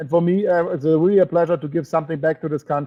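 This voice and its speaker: Talking at a very fast pace, a man with a high pitch speaks in a German accent. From Germany or Austria. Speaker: network marketing presenter. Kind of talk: sales webinar presentation. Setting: online webinar broadcast. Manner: halting, with fillers and restarts.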